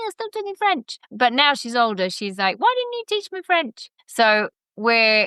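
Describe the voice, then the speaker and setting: In a London accent, a woman with a high voice and a bright, sharp tone speaks fairly slowly, recorded dry and close with no echo over a quiet background. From England, London. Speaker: educator and education center founder. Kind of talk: podcast interview.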